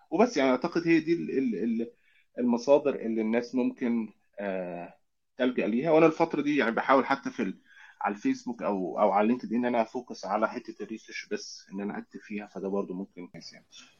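A man with a normal speaking voice and a medium pitch uses lively intonation, and his loudness swings widely. The background is quiet. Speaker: UX research lead. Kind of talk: casual interview.

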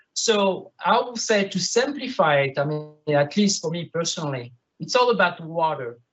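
Speaking with a French accent at a fairly slow pace, a man uses a high pitch and lively intonation. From France, Bordeaux. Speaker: winemaker. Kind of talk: panel discussion.

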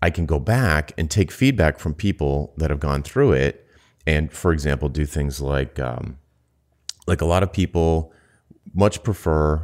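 In a very deep, low pitch with vocal fry, a man talks with ordinary pitch variation and long, frequent pauses. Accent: American. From US Northeast (Rhode Island). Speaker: podcast co-host, business consultant. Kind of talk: casual chat. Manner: fast.

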